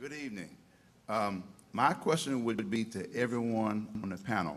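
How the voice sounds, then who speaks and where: Audible room echo surrounds a man speaking at a medium pitch in an American accent. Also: ordinary pitch variation, moderate pace. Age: 60s. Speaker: audience member, teacher. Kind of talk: audience question at panel.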